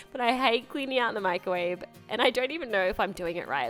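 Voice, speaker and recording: With music playing behind her, a woman speaks in an Australian accent with lively intonation. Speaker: lifestyle vlogger. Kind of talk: casual voice-over for a cleaning vlog. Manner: chatty, casual.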